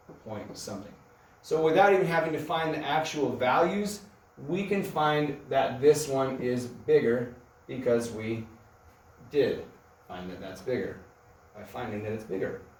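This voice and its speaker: A fairly high-pitched man with lively intonation, at a fairly slow pace with long, frequent pauses and audible room echo. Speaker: math teacher. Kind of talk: recorded math lesson. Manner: slow and rambling; casual, thinking aloud.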